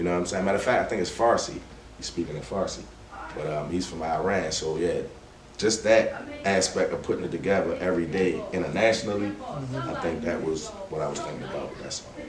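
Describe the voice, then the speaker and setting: A man with a very deep, low pitch speaks at a very fast pace against noticeable background noise. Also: ordinary pitch variation. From Westside of Baltimore. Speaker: rap artist. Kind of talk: podcast interview answer. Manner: casual, relaxed.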